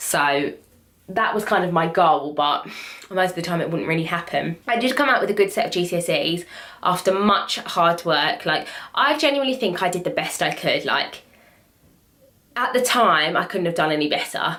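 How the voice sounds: A woman speaks at a fairly low pitch with a fairly bright tone. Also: lively intonation, moderate pace.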